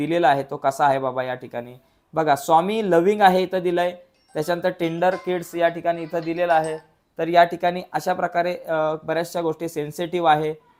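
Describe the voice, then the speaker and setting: Music plays behind a man who speaks with a high pitch and fairly even intonation. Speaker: teacher. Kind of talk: lecture.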